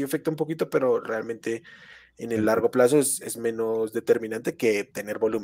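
His intonation is fairly even. The man speaks at a moderate pace. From Colombia. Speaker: fantasy football analyst. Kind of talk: casual chat. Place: home room. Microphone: headset.

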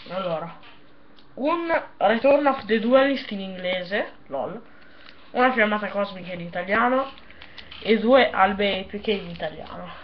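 With lively intonation and a medium-pitched voice, a woman speaks at a fairly slow pace, with long, frequent pauses and big swings in loudness over light background noise. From Italy. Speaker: YouTuber opening card packs. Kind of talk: unboxing video commentary. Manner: casual, animated. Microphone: webcam.

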